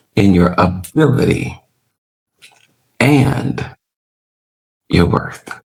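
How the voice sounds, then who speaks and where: With audible room echo, a man speaks at a very slow pace, using very wide pitch swings and long, frequent pauses. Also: fairly low pitch for a man. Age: 60s. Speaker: preacher. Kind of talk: sermon. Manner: animated.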